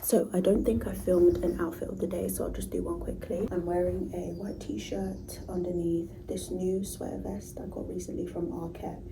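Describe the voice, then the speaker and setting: Speaking in a London accent, a woman talks at a moderate pace. Noticeable background noise and audible room echo fill the recording. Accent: British English (London). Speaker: vlogger. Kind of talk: casual vlog talk. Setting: private office at work. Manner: whispering, soft.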